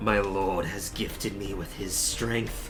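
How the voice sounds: Over loud music in the background, a man does a put-on character voice, fairly low in pitch and at a fairly slow pace.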